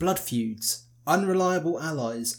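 A man with an ordinary speaking voice talks at a fairly high pitch with lively intonation. The recording is very clean, with a silent background. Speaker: podcast host, history narrator. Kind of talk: history documentary narration, scripted. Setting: solo recording, podcast. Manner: formal, measured; steady, authoritative storytelling pace.

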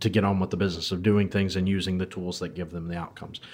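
A man speaks in a fairly low pitch with monotone, flat intonation. The recording is very clean, with a silent background. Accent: American. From United States. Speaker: podcast host and IT professional. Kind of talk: casual interview conversation.

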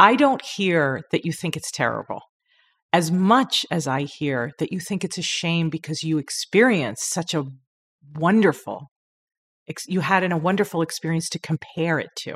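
A woman with an American accent and an unremarkable speaking voice, lively intonation and a moderate pace, on a very clean recording with a silent background. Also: fairly low pitch for a woman. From Long Island, New York. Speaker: newspaper editor and podcast host. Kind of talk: casual interview.

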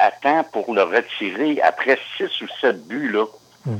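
Very slowly, a man speaks at a medium pitch, varying it in an ordinary way. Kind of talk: interview.

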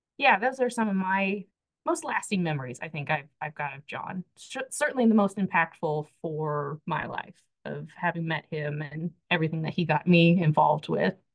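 A woman with an American accent speaks at a moderate pace in a fairly low pitch. Hers is an unremarkable speaking voice, heard with a dry, close sound and no echo. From US Midwest, Missouri Ozarks. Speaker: archivist. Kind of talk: interview.

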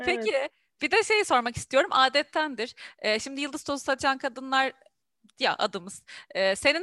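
Raised and projected, a woman's high, bright, sharp voice has lively intonation and long, frequent pauses, with a dry, close sound and no echo. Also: moderate pace. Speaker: podcast host. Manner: energetic.

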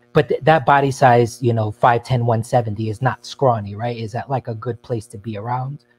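A man talks at medium pitch and a fairly quick pace, with hardly any pauses and fairly even intonation. His loudness swings widely, the sound is dry and close with no echo, and music plays in the background. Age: 30s. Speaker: caller. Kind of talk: call-in advice chat.

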